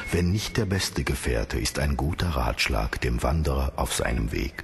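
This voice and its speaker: Soft-spoken at a fairly slow pace, a man with a very deep, low pitch uses lively intonation and very even loudness as music plays in the background. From Turkish-German background. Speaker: entertainer. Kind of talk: audiobook reading of aphorisms.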